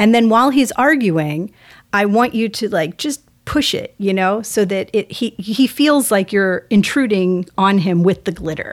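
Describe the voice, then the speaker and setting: A woman with an American accent uses an unremarkable speaking voice at medium pitch, fairly slow and with lively intonation, on a very clean recording with a silent background. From US South, Texas (outside Houston). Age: 40s. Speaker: family lawyer and musician. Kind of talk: casual interview chat.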